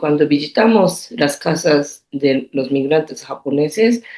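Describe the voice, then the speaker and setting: A woman with a Japanese accent at a very slow pace. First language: Japanese (speaking Spanish). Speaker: artist. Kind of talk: interview. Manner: halting.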